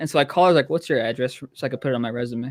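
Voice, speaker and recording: Very fast speech with ordinary pitch variation, over music in the background. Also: man. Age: 20s. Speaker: aspiring radio broadcaster. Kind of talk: casual chat. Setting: live stream.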